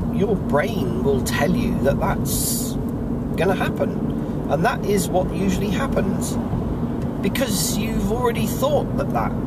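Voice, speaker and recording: A man at a fairly slow pace, with long, frequent pauses, over loud background noise. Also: dry sound with no echo. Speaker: vlogger. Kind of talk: casual vlog chat. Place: car. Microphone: phone near.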